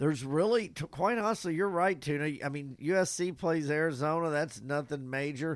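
A man with a fairly high pitch speaks with lively intonation. The recording is very clean, with a silent background. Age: 60s. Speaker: podcast co-host. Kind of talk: casual sports chat. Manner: animated.

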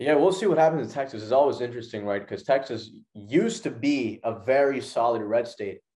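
A man talks fairly quickly with hardly any pauses, at a medium pitch with lively intonation. It is an ordinary speaking voice. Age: 20s. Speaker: podcast co-host, college student. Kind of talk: casual chat.

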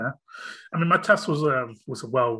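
A bright, sharp tone with a British accent at a fairly quick pace against a quiet background. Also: man. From UK. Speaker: podcast host. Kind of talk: casual chat.

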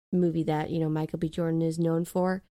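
The woman's voice has a dark, mellow tone. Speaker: podcast co-host. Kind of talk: casual chat about a movie. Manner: halting, filler words.

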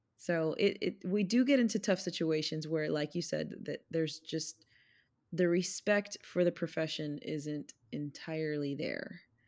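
A woman with an unremarkable speaking voice talks at a fairly slow pace with fairly low pitch and ordinary pitch variation, on a very clean recording with a silent background. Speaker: podcast co-host and school speech-language pathologist. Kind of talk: casual chat.

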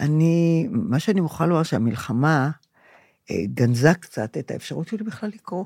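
Her pitch is very deep and low, and this woman's dark, mellow tone moves through very wide pitch swings at a moderate pace. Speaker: podcast co-host, grandmother. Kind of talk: casual chat.

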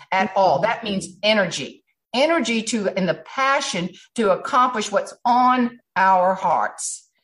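A woman with a South Carolina accent, lively intonation and a fairly high pitch. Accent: Southern US (South Carolina). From South Carolina low country. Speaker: humorist and speaker. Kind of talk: casual interview chat. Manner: animated.

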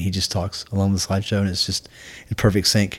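Speaking in a Scottish accent, a man talks very fast at a fairly low pitch with monotone, flat intonation. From Scotland. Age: 50s. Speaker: Marine veteran and firefighter. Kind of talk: casual interview. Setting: in person at host's home.

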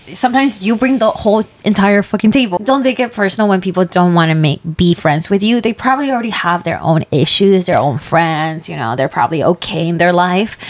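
At a fairly quick pace and medium pitch, a woman talks with lively intonation and hardly any pauses in an unremarkable speaking voice. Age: 20s. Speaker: podcast co-host. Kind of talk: casual chat.

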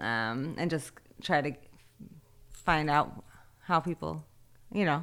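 On a very clean recording with a silent background, a woman speaks with a very deep, low pitch, vocal fry and lively intonation. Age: 30s. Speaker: artist. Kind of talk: casual chat.

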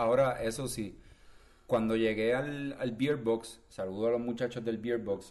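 Using an ordinary speaking voice, a man talks at a fairly slow pace. His pitch is medium and his intonation fairly even. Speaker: podcast co-host. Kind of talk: casual chat.

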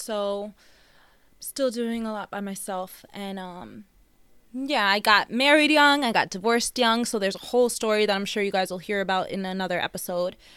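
With a New York accent and a bright, sharp tone, the speaker talks at a fairly quick pace over a silent background on a very clean recording. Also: woman. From Long Island, New York. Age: 20s. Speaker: podcast co-host. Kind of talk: casual chat.

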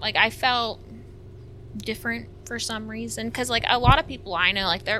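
Speaking with an American accent, a woman makes very wide pitch swings over noticeable background noise. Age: 30s. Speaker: content creator. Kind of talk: casual chat.

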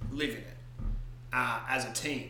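Through audible room echo and noticeable background noise, a man speaks at a fairly slow pace in a monotone, flat intonation. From Scottish Highlands. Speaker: D&D podcast co-host, player. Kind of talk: casual chat. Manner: laughs often.

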